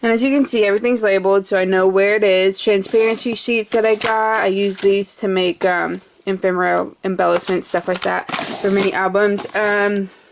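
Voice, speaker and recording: A woman's loudness stays very even against noticeable background noise. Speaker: crafter showing her workspace. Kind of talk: casual video tour. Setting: indoors in a craft shed. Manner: hesitant, many fillers.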